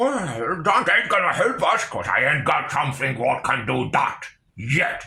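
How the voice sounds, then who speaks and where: At a moderate pace, a man uses a put-on character voice pitched fairly high. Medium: read story. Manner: mulling, cockney orc slang.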